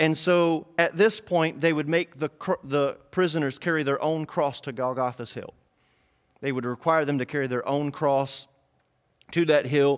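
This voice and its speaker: With an animated tone, a man talks at a moderate pace in a fairly high pitch. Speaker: pastor. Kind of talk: sermon. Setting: online church service streamed to viewers. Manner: animated, fervent preaching with call-and-response prompts; emphatic, repeating key phrases for effect.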